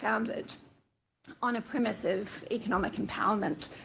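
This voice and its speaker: Her accent is from New Zealand. The woman keeps to a moderate pace. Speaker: fintech executive. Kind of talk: panel discussion.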